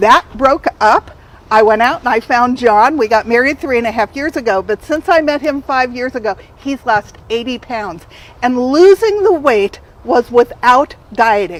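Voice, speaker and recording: Over noticeable background noise, a woman with an American accent talks at a fairly slow pace in a high voice with lively intonation. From Southern California. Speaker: health coach and author. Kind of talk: talk to a community group. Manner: energetic.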